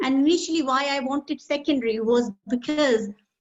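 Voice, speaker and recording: A woman's voice with a Pakistani accent and ordinary pitch variation. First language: Urdu. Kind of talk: casual chat.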